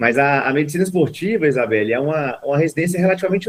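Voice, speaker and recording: A man speaks with a Minas Gerais accent. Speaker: sports medicine doctor. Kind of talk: interview. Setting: video call.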